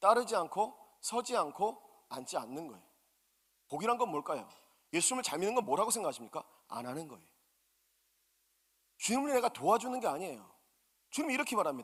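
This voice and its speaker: This man's voice is high-pitched, with very wide pitch swings and big swings in loudness. He talks at a very fast pace, broken by long, frequent pauses. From South Korea, Busan. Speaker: pastor. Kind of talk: sermon. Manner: animated.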